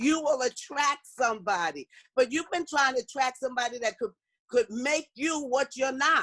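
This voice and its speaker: A woman talks in an animated, bright, sharp tone at a high pitch, with ordinary pitch variation and a moderate pace. The recording is dry and close, with no echo. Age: 60s. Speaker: motivational speaker. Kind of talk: workshop talk.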